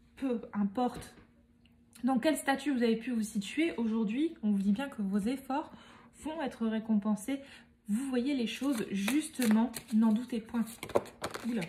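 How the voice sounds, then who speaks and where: A woman speaks fairly slowly, leaving long, frequent pauses. Her pitch is fairly high, with ordinary variation. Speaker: medium giving tarot card readings. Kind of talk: tarot reading guidance.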